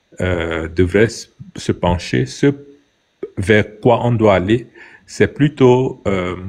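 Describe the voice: A man's fairly low voice at a slow pace, with ordinary pitch variation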